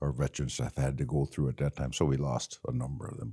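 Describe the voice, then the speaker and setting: Vocal fry runs through a dark, mellow tone with an American accent. The pace is fairly quick. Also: man. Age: 70s. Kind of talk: interview reminiscence. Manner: halting, many fillers.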